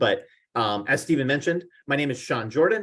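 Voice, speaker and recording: A man with a fairly high-pitched voice speaks at a fairly quick clip. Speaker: marketing researcher. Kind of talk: presentation. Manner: fast.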